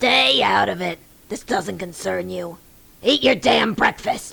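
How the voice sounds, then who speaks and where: A put-on character voice at middle pitch moves at a fairly slow pace. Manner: angry, yelling.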